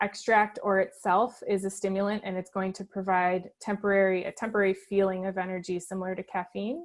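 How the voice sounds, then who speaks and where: A woman talks at a moderate pace. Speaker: dietitian. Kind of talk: webinar Q&A.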